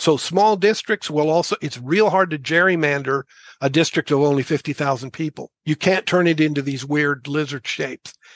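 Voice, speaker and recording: Recorded with a dry, close sound and no echo, a plain, everyday voice moves at a moderate pace with ordinary pitch variation. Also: man, fairly high pitch for a man. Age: 60s. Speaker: author and activist. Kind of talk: passionate explanation in interview.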